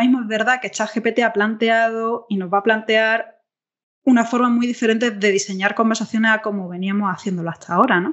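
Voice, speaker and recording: Speaking very fast, a woman with an Andalusian accent keeps a fairly high pitch and fairly even intonation. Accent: Andalusian Spanish (Granada). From southern Spain, Granada. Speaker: interaction designer. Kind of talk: podcast interview. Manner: hesitant, many fillers.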